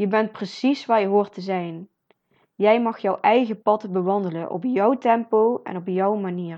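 An ordinary speaking voice, fairly slow in pace and ordinary in its pitch variation. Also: woman, medium pitch for a woman. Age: 20s. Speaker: podcast host, motivational speaker. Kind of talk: motivational monologue.

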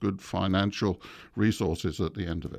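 A man with an English accent talks in a fairly low pitch with ordinary pitch variation. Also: quiet background. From England. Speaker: veterinary professor. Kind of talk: interview. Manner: halting.

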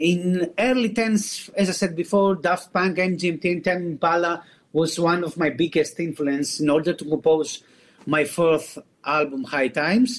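The man speaks with a Greek accent at a high pitch. His pace is fairly slow, and his pitch varies normally. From Greece. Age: 40s. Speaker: singer-songwriter. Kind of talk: interview. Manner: halting.

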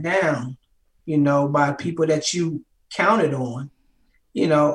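Fairly slow speech in an ordinary speaking voice from a man with an American accent and ordinary pitch variation. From Baltimore, US. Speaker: army veteran and author. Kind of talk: casual interview.

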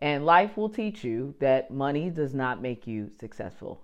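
A woman with a New Jersey accent talks in an animated tone, her pitch swinging very widely. The background is quiet. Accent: New Jersey American. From New Jersey, US. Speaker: podcast host, entrepreneur. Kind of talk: solo podcast monologue. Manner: casual, animated.

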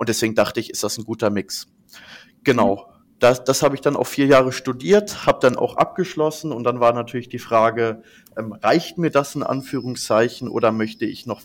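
Using an unremarkable speaking voice, a man talks at a moderate pace and medium pitch with ordinary pitch variation. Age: 20s. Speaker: management consultant. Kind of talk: interview. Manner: many fillers.

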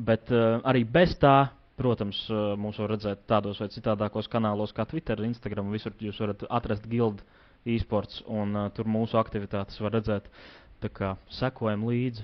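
A plain, everyday voice comes with fairly even intonation and big swings in loudness. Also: man, fairly low pitch for a man. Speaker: esports coach. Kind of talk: interview.

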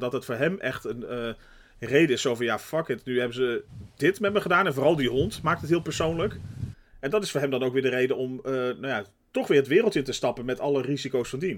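With an unremarkable speaking voice, a man talks fairly quickly at a medium pitch with lively intonation. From Netherlands. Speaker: podcast co-host. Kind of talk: casual chat.

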